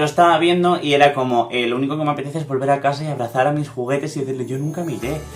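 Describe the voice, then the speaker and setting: Very fast speech in a Castilian accent, fairly even in intonation, over noticeable background noise. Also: man. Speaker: YouTuber. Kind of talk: casual chat.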